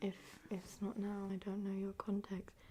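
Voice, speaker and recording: Soft-spoken and somewhat breathy, a woman talks at a fairly slow pace in a dark, mellow tone. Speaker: ASMR creator. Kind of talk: soft-spoken ASMR advice reading.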